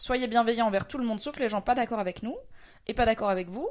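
A woman speaks with an ordinary speaking voice set fairly high, her pitch shifting in a normal way. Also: very clean recording, silent background. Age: 30s. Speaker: streamer and podcast co-host. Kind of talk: casual chat.

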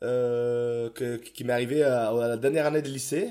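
The speech is very slow, with fairly even intonation. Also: man. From Italy (near Verona). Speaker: restaurant chef and TV cooking contestant. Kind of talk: casual interview chat. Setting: remote recording, distance call during lockdown. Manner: spontaneous, talkative, jokey.

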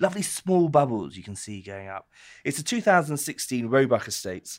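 A man with a British accent, fairly high-pitched, at a fairly quick pace, with very wide pitch swings, on a very clean recording over a silent background. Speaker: wine columnist and co-host. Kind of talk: casual chat. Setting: pub.

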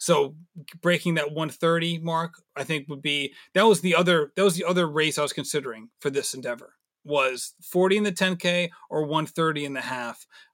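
A man with a fairly high pitch talks at a moderate pace, with ordinary pitch variation and an ordinary speaking voice. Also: very clean recording, silent background. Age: 30s. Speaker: amateur runner, podcast host. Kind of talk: casual interview chat.

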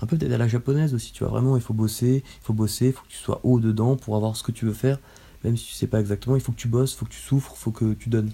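Very fast speech from a man at a medium pitch, fairly even intonation, and big swings in loudness. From Paris region, France. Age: 20s. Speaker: physiotherapist. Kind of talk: casual chat.

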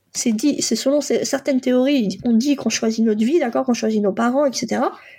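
Her intonation moves in a lively way. The woman's tone is dark and mellow. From France, born in Poland. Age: 40s. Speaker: life coach and psychotherapist. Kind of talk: personal testimony. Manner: hesitant, many fillers.

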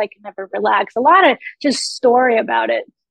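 A woman speaks at a moderate pace with a fairly high pitch. The sound is dry and close, with no echo.

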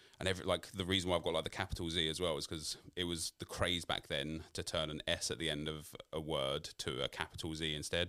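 A man with a South London accent speaks at a fairly quick pace in a very deep, low voice, his intonation flat and monotone. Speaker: YouTube creator. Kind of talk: interview.

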